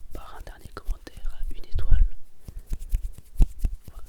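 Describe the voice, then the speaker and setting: Whispering at a very slow pace, with noticeable noise in the background. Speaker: ASMR creator. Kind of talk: ASMR reading of restaurant reviews. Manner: whispered.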